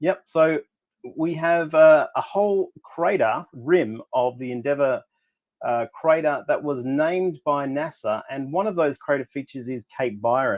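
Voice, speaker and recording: This man speaks with an Australian accent. His pitch is fairly high. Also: ordinary pitch variation. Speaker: astrophotographer. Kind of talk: casual presentation on a livestream.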